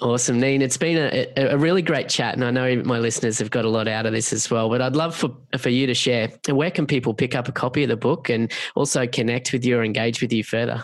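A man with an Australian accent speaks at a very fast pace with hardly any pauses, medium pitch, fairly even intonation and very even loudness. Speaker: podcast host. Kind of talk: interview.

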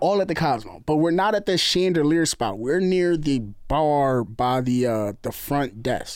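In a New Jersey accent, a man with a fairly high pitch speaks at a fairly slow pace with lively intonation and very even loudness, on a very clean recording with a silent background. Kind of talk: casual chat.

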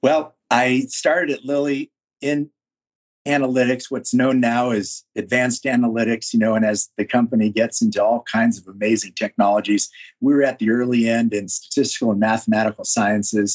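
Speaking with an American accent, a man uses a plain, everyday voice of medium pitch, with fairly even intonation and a moderate pace. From California, San Francisco Bay Area. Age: 60s. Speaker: business consultant, former pharma executive. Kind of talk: interview.

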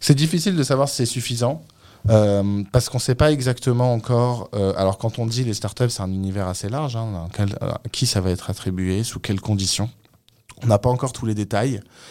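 Over a very clean recording with a silent background, a man with a dark, mellow tone talks at medium pitch and a fairly quick pace with ordinary pitch variation. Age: 30s. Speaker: startup founder. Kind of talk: radio interview. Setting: studio.

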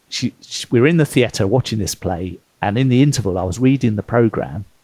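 In a British accent, a man talks at a moderate pace and medium pitch with ordinary pitch variation and a dark, mellow tone, the sound dry and close with no echo. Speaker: author and former consultant. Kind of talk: interview conversation.

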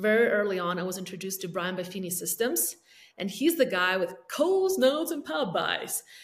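A woman with a non-native accent speaks at a medium pitch with lively intonation. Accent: foreign-accented English. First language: not English (third language). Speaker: realtor and team leader. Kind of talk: interview.

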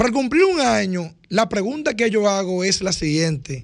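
The intonation is lively and the pace fairly slow. It is a very clean recording with a silent background. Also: man. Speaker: radio panelist. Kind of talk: radio talk show discussion.

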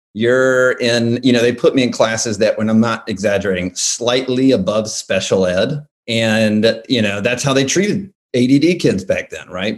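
In an American accent, a man speaks at a moderate pace and medium pitch with lively intonation, in an ordinary speaking voice. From US South, Alabama. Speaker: political and corporate marketer. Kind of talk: casual interview.

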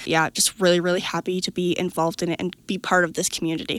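A woman with an ordinary speaking voice talks at medium pitch and a fairly quick pace. The sound is dry and close, with no echo. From Nova Scotia, Canada. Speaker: agricultural education manager. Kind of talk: interview. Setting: conference.

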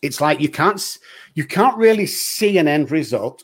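A man's fairly high voice with an English accent, at a moderate pace, on a very clean recording with a silent background. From England. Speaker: addiction doctor and show host. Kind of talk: podcast hosting and interview.

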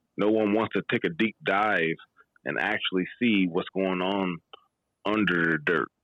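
With an American accent, a man is talking. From Maryland, US. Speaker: guest caller. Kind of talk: casual conversation. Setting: video call from podcast convention.

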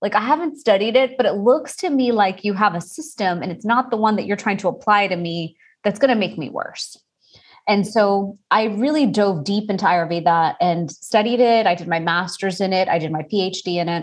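A woman speaks in an ordinary speaking voice at medium pitch. Her intonation is lively and her pace moderate. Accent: American. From Texas, Houston. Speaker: Ayurvedic practitioner. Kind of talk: interview.

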